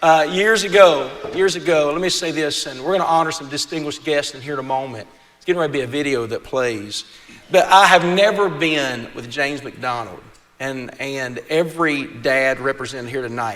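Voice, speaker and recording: With a West Virginia accent, a man with a fairly high pitch talks at a moderate pace, his intonation lively and his loudness swinging widely over noticeable background noise. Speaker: event emcee. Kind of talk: speech at a gala event. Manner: halting, repeats words.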